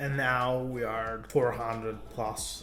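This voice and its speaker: With an Italian accent, a man speaks at a medium pitch in a monotone, flat intonation, with audible room echo and music in the background. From Italy. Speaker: car YouTuber. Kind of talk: casual talk to camera.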